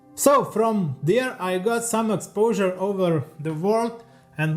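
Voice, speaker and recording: Music plays in the background as a man with an Eastern European accent speaks at a fairly slow pace and a high pitch. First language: Lithuanian. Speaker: leathercraft artisan and YouTuber. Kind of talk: scripted narration. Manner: reading from a teleprompter.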